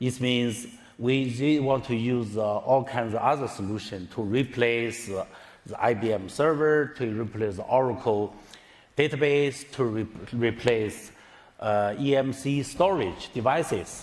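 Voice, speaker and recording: A man at a medium pitch with a non-native accent, at a fairly slow pace with ordinary pitch variation, in audible room echo. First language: Chinese. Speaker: tech executive. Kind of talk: conference talk. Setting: stage with audience. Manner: halting, many fillers.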